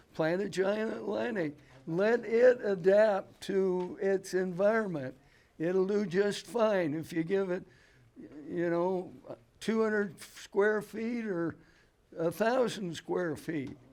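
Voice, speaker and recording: In an American accent, a man talks at a very slow pace with a high pitch and ordinary pitch variation. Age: 80s. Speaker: pumpkin grower. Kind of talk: seminar talk. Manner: halting.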